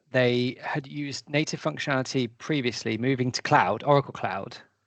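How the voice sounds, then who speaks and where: The speaker has a British accent and talks at a moderate pace. The background is quiet. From Britain. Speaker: webinar host. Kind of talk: webinar interview.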